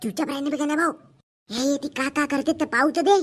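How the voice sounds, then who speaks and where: Cartoonish character voice at a very fast pace. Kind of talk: comic overacting. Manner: cheeky, crude.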